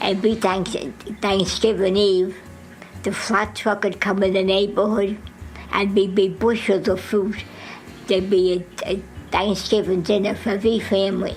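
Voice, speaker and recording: With music in the background, a woman speaks at a medium pitch and a moderate pace in a flat monotone, her loudness very even and her pauses long and frequent. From Jersey City, New Jersey. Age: 80s+. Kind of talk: interview answer.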